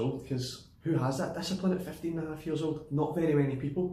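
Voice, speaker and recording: Talking at a very fast pace, a man with a Glaswegian accent shows ordinary pitch variation. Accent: Glaswegian Scottish. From Glasgow, Scotland. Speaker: personal trainer. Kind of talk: casual personal story to camera.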